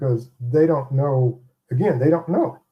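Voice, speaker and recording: Male speech, fairly slow and somewhat breathy, dark and mellow in tone, at a medium pitch with ordinary pitch variation. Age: 60s. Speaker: interview guest. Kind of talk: interview.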